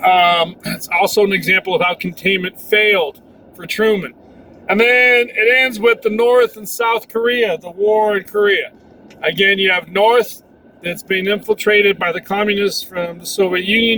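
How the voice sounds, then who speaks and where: Over noticeable background noise, a man with a high pitch uses a raised, projected voice at a moderate pace, with fairly even intonation and big swings in loudness. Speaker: history teacher. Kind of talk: recorded class lesson preview. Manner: casual, with many fillers.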